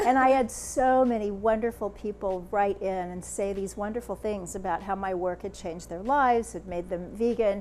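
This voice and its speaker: In an American accent, a woman with a normal speaking voice and medium pitch speaks at a moderate pace with ordinary pitch variation and hardly any pauses. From United States. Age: 60s. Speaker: author and speaker. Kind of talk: interview.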